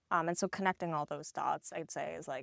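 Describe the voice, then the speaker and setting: The sound is dry and close, with no echo, and the speaker has a Korean accent. Vocal fry runs through the voice, and the intonation stays fairly even. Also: woman. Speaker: tech company co-founder. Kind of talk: podcast interview. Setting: live at a tech conference.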